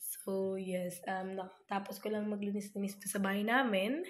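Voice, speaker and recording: A somewhat breathy woman's voice at medium pitch, monotone and flat, at a fairly slow pace, with audible room echo. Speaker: vlogger. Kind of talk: casual vlog. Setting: at home.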